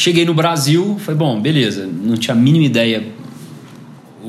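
Audible room echo and clear background noise accompany a man talking at a moderate tempo. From Brazil, Goiás (Goiânia). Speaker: entrepreneur. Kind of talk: interview.

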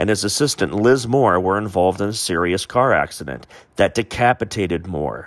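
In a very clean recording with a silent background, a man uses a normal speaking voice, fairly low in pitch, with lively intonation at a moderate pace. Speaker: podcast host. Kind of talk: casual chat.

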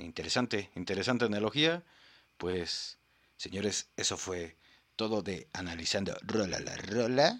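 Here a man talks at a fairly slow pace. His pitch is fairly low. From Mexico. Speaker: podcast host. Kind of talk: casual comedic commentary. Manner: animated.

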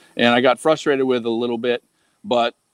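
Recorded very cleanly against a silent background, a man with a medium pitch and an ordinary speaking voice talks at a moderate pace, the sound dry and close with no echo. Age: 50s. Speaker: online marketing student. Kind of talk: casual interview.

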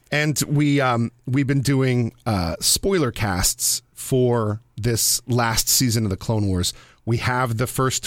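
With a plain, everyday voice, a man speaks at a medium pitch and ordinary pitch variation, in a very clean recording with a silent background and a dry, close sound with no echo. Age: 40s. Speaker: radio producer and podcast host. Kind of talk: casual chat.

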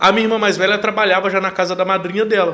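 A man talking at a very fast pace. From Brazil, Rondônia (interior, São Felipe do Oeste). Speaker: chef and air force serviceman. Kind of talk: casual interview.

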